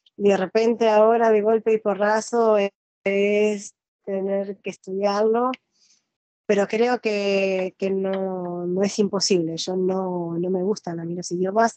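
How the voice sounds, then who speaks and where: A woman speaks very slowly with monotone, flat intonation at a medium pitch. Her tone is dark and mellow, and the sound is dry and close with no echo. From Argentina. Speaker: nurse and interviewer. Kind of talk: interview. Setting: video call. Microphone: unstable Wi-Fi connection.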